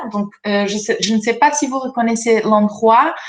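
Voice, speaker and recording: A woman speaks with a non-native accent. Her pitch is fairly high and her intonation fairly even. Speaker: researcher. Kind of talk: presentation. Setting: video conference. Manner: hesitant, many fillers.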